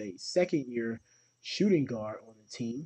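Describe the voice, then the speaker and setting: The speaker is a man with a medium pitch. He has an unremarkable speaking voice. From Ohio, Cleveland area. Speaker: podcast host. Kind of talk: solo podcast monologue. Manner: frequent filler words.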